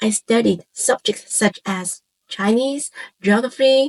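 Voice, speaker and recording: Recorded with a dry, close sound and no echo, a woman talks at a fairly slow pace in a fairly high pitch with ordinary pitch variation. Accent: Cantonese. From Hong Kong. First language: Cantonese. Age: 40s. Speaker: content creator. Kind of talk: scripted personal introduction. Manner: calm, reflective.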